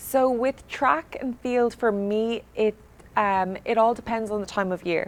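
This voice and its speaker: Speaking fairly slowly with an Irish accent, a woman has a fairly high pitch and ordinary pitch variation. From Ireland, Straffan, County Kildare near Dublin. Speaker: student athlete. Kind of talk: interview. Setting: studio.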